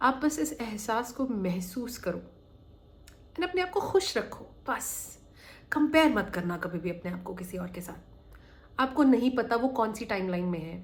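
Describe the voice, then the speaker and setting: Pausing long and often, a woman with a fairly high pitch speaks at a moderate pace with very wide pitch swings. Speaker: manifestation coach. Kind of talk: motivational talk. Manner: conversational.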